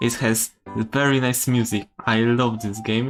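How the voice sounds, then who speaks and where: Flat and monotone, a man with a non-native accent speaks at a medium pitch and a fairly slow pace. The recording is very clean, with a silent background. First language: not English. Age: 20s. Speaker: game developer streamer. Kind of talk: live stream commentary. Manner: halting, many fillers.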